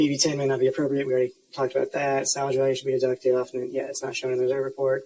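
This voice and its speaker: A man talks at a very fast pace with hardly any pauses. His medium-pitched voice stays monotone and flat. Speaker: accounting instructor. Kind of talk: lecture. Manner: casual, many fillers.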